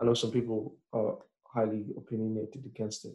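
Slightly breathy and dark, mellow in tone, this man's voice sits at a medium pitch and moves at a fairly quick pace with flat, monotone intonation. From northern England, raised partly in Nigeria and Cameroon until age 10. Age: 20s. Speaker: renewable energy engineer. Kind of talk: casual interview chat.

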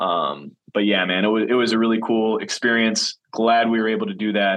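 The speaker talks at a fairly quick pace with a Wisconsin accent and ordinary pitch variation. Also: man. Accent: Wisconsin, currently stronger. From Wisconsin, Green Bay. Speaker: podcast host and professional football player. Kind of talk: casual solo podcast monologue. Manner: casual, with frequent fillers and repetitions.

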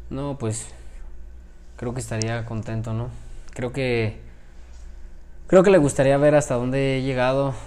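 A man with a dark, mellow tone talks at a medium pitch and a fairly slow pace. His intonation stays fairly even, with long, frequent pauses. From Mexico, Celaya. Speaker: professional boxer. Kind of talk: interview.

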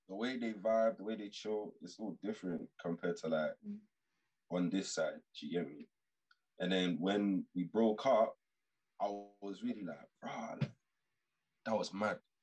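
A man with a London accent speaks at a moderate pace, leaving long, frequent pauses, in a dry, close recording with no echo. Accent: London multicultural English. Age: 20s. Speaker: podcast guest. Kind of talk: casual chat.

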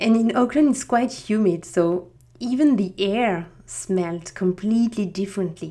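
A woman's medium-pitched voice in a French accent, dark and mellow in tone, with lively intonation and a moderate pace. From France, Strasbourg. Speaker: podcast host. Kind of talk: scripted-style solo podcast introduction. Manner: friendly, slightly halting.

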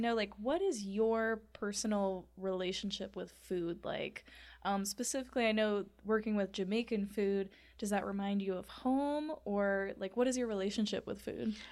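A woman with an unremarkable speaking voice, fairly high in pitch, with ordinary pitch variation at a moderate pace, on a very clean recording with a silent background. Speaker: podcast host. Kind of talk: casual interview.

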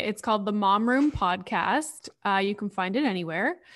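A woman with a Canadian accent, an ordinary speaking voice at medium pitch, ordinary pitch variation and a moderate pace, on a very clean recording with a silent background. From Northern Ontario, Canada (Sudbury). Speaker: content creator and psychology PhD. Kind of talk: casual chat.

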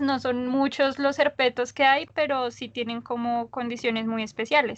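In a high voice and a flat monotone, a woman talks at a fairly slow pace. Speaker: biologist, mammalogist. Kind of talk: casual interview conversation.

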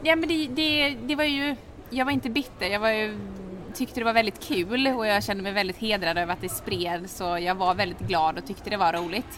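Very wide pitch swings in a woman's voice of medium pitch. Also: moderate pace. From Sweden, Halmstad. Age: 20s. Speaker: hair styling influencer and student. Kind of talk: interview. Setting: café.

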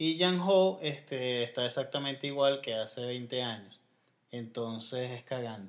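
This man talks at a fairly slow pace, his medium pitch carrying ordinary variation. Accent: Venezuelan. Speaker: podcast co-host. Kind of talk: casual chat.

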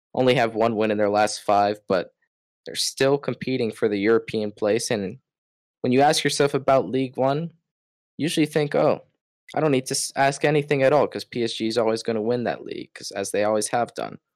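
Speaking at a fairly quick pace with an American accent, a man uses a plain, everyday voice at medium pitch with ordinary pitch variation, heard in a dry, close sound with no echo on a very clean recording with a silent background. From Florida, US. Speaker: football podcast co-host. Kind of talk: casual chat.

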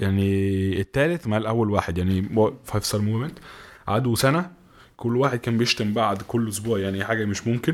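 A man speaks at a fairly quick pace with a fairly low pitch and ordinary pitch variation. His loudness stays very even on a very clean recording with a silent background. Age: 20s. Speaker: freelance journalist and student. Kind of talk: casual interview. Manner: halting.

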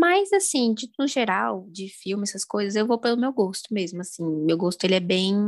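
At a medium pitch and moderate pace, a woman talks in a Brasília accent. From Brasília, Brazil. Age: 20s. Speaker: language learning content creator and student. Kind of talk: casual interview chat.

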